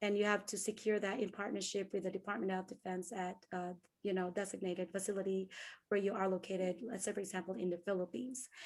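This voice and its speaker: This woman talks at a very fast pace. Her pitch sits in the medium range. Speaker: immigration lawyer. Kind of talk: webinar lecture. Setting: online webinar. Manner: hesitant, many fillers.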